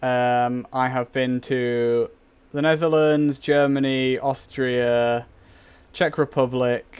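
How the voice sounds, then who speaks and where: A man with an English accent speaks at a very slow pace, his medium-pitched voice held in a flat monotone. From England. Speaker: gaming streamer. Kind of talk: casual live stream chat. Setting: live game stream.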